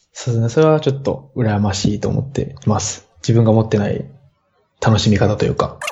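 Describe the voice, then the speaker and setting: At a fairly quick pace, an unremarkable speaking voice moves with ordinary pitch variation. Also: man, medium pitch for a man. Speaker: podcast listener and band musician. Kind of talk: casual chat.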